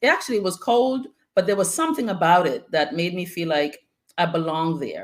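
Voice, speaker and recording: This woman has an ordinary speaking voice with an American accent and a fairly low pitch. Her intonation is lively and her pace moderate. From Antigua, then South Bronx, New York City. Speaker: guest speaker. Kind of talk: casual interview chat.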